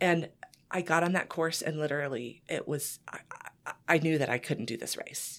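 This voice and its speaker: With an American accent, a woman speaks at a moderate pace in a very deep, low voice with ordinary pitch variation. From Kansas. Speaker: cycling group organizer. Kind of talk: interview.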